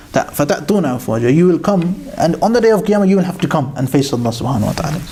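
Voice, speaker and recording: A man's very fast speech with audible room echo. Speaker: Quran teacher. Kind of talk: religious lecture.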